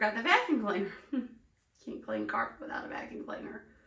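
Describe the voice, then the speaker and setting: A woman at a moderate pace, with a Southern US accent. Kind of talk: casual talk to camera.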